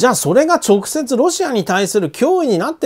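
Speech moves at a fairly quick pace on a very clean recording with a silent background. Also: man. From Japan, Aichi. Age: 50s. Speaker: economic commentator. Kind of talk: monologue commentary. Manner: casual, filler-heavy.

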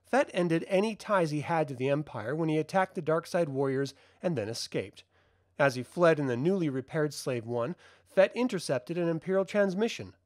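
On a very clean recording with a silent background, a man with a fairly high pitch speaks in an ordinary speaking voice. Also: lively intonation, fairly quick pace. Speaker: channel host narrating comics. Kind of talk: reading aloud.

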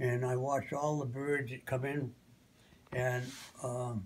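A man speaks with a somewhat breathy voice and fairly even intonation. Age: 80s+. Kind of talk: interview answer. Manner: slow, hesitant. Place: home room. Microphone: phone near.

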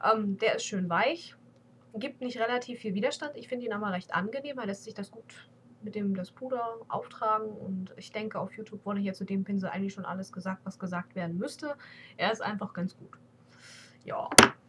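The voice is somewhat breathy, with big swings in loudness and ordinary pitch variation. Light background noise can be heard. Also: woman, fairly high pitch for a woman. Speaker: beauty vlogger. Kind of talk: casual vlog monologue. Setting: webcam at home PC. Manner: hesitant, many fillers. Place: home room. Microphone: webcam.

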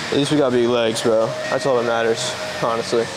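Noticeable background noise surrounds a man who talks at a fairly quick pace. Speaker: fitness vlogger. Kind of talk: casual vlog chat. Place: gym. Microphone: lapel.

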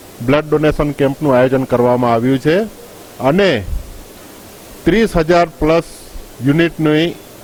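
Noticeable background noise sits behind a man with a fairly high pitch. His loudness stays very even, with ordinary pitch variation. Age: 60s. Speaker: volunteer organisation head. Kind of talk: news interview statement.

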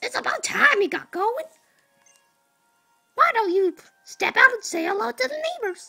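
In a put-on character voice, a female-sounding speaker talks at an extremely high pitch and a moderate pace, leaving long, frequent pauses over faint background music. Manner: scolding, impatient.

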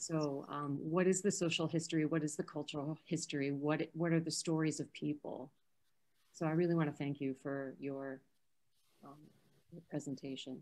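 A woman with an American accent talks at a fairly quick pace, broken by long, frequent pauses. Her very deep, low voice stays in a flat monotone. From US Midwest, Chicago. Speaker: historic preservation advocate. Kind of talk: Q&A discussion. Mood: earnest, somewhat disheartened. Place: home room. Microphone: video call.

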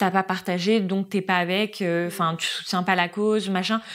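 Her pace is moderate. The woman speaks with fairly even intonation. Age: 20s. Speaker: social media marketing worker at a luxury brand; guest. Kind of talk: casual chat.

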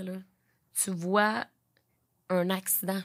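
A woman at a medium pitch talks in a monotone, flat intonation over a quiet background. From Quebec, Beauce; Quebec. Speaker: podcast host. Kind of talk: casual interview. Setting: studio. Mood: empathetic, serious topic. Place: studio. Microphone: studio mic.

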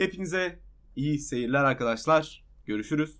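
This man's pitch sits fairly high with ordinary variation, and his pace is moderate. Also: very clean recording, silent background. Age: 20s. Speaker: gaming YouTuber and streamer. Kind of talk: casual vlog announcement. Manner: hesitant fillers.

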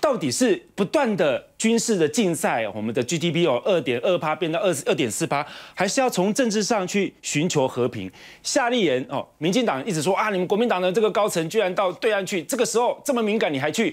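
A man talks at a fairly quick pace with hardly any pauses. His pitch swings very widely, and the background is quiet. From Taiwan. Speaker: TV political talk show host. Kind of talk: political talk show commentary. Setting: TV studio. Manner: animated. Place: studio. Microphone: lapel.

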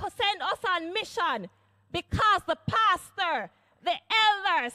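The voice is raised and projected, moving at a very slow pace. The background is quiet. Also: woman. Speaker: church elder preaching. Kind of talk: sermon. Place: church. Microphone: handheld.

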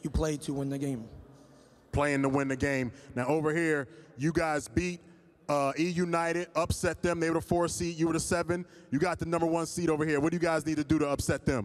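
A man's fairly high voice, fairly quick and fairly even in intonation. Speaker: event interviewer. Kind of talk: interview. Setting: stage with audience. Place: stage. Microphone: handheld.

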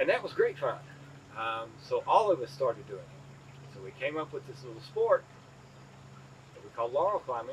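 Over light background noise, a man talks at a moderate pace in a Southern Appalachian accent. His pitch shows ordinary variation. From East Tennessee, Appalachia. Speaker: farmer. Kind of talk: interview answer. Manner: casual, storytelling. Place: farm machine. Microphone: lapel.

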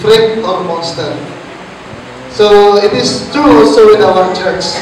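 Over noticeable background noise and strong room echo, a man talks at a very slow pace in a high pitch. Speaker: Bible teacher. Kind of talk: Bible study teaching. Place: church.

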